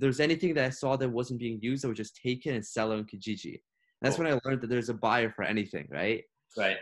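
The recording is very clean, with a silent background. A man talks very fast at medium pitch with ordinary pitch variation. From Ukraine. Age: 20s. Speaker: university student and sales manager. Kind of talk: casual interview chat.

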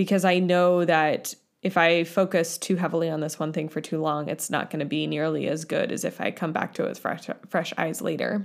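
On a very clean recording with a silent background, a woman with a fairly low pitch speaks at a fairly quick pace with hardly any pauses. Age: 20s. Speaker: podcast host. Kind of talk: solo podcast monologue. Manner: animated.

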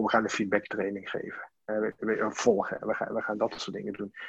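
A man is talking fairly quickly. His voice sits at a medium pitch. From Limburg, Netherlands (Sittard). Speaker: team coach. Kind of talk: interview. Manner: halting.

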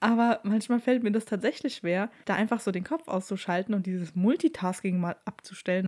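A woman at a medium pitch, fairly quick pace and ordinary pitch variation. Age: 20s. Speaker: podcast host. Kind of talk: casual solo podcast talk.

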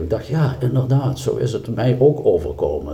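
A man's voice at a fairly slow pace with audible room echo. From South Limburg, Netherlands. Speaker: church member. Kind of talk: casual interview. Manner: halting.

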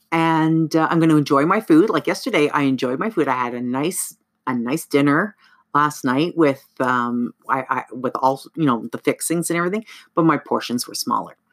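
On a very clean recording with a silent background, a woman talks at a very deep, low pitch with ordinary pitch variation. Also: moderate pace. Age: 50s. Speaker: podcast host. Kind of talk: casual monologue.

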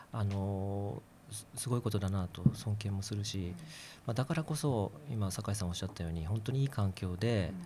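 In a very clean recording with a silent background, a man with a fairly low pitch and a dark, mellow, somewhat breathy tone speaks at a moderate pace with ordinary pitch variation. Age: 40s. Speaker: physician and political candidate. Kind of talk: casual discussion.

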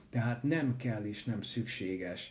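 Amid audible room echo, a man speaks at a very slow pace in a somewhat breathy voice, dark and mellow in tone, with ordinary pitch variation. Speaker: medical professor and researcher. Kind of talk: interview.

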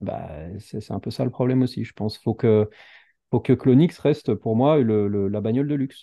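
Using a normal speaking voice, a man speaks at medium pitch and a moderate pace with ordinary pitch variation. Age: 30s. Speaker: entrepreneur and YouTuber. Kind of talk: casual chat.

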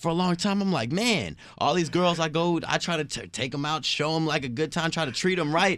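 A man with a plain, everyday voice talks at a fairly quick pace with hardly any pauses, his fairly high pitch showing ordinary variation, on a very clean recording with a silent background. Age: 20s. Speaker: podcast co-host. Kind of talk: casual chat.

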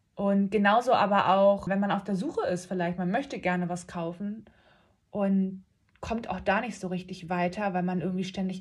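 The somewhat breathy voice moves at a moderate pace with fairly even intonation, on a very clean recording with a silent background. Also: woman. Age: 30s. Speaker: real estate agent and podcast host. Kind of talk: casual monologue.

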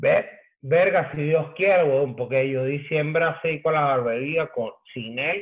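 A man with a Caracas Venezuelan accent, fairly high in pitch, at a very slow pace with ordinary pitch variation. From Venezuela, Caracas. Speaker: graffiti artist and hip hop pioneer. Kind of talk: casual chat.

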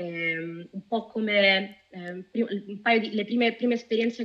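A woman speaks in an ordinary speaking voice at a medium pitch. Her pace is moderate and her intonation fairly even. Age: 30s. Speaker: data officer and UX researcher. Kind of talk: interview.

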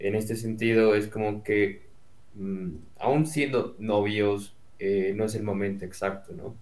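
There is audible room echo around this speaker. A man talks with a fairly low pitch and a fairly even intonation. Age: 20s. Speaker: university student. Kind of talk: casual chat. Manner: halting.

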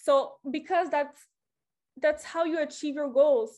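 With a French accent, a woman speaks against a quiet background. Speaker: motivational speaker. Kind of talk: motivational talk. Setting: online group call.

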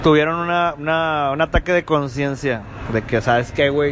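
The pace is moderate, with noticeable background noise. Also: man. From Monterrey, Mexico. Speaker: podcast host. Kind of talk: casual chat. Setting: apartment recording. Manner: animated.

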